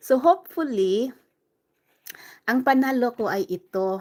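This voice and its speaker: A woman with lively intonation at a fairly slow pace, in a very clean recording with a silent background. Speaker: livestreamer. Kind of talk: casual live stream chat. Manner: loud; chatty.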